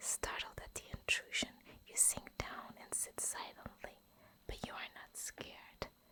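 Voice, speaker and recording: Whispering in a soothing tone, a woman speaks at a fairly slow pace. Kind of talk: whispered bedtime story reading for sleep. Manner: whispered, soft, soothing.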